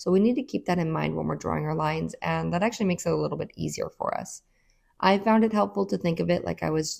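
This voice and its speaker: Speaking at a very fast pace, a woman is heard on a very clean recording with a silent background. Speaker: artist teaching painting. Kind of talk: tutorial. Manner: casual, conversational.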